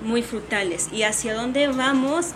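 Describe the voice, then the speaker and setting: Ordinary pitch variation from a woman, amid audible room echo and noticeable background noise. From Mexico, Oaxaca. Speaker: café owner and coffee roaster. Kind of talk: interview, casual chat.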